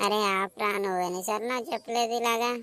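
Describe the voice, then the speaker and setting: In a cartoonish character voice, a woman speaks at a moderate pace with a fairly high pitch and fairly even intonation. The recording is very clean, with a silent background. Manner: complaining, reproachful.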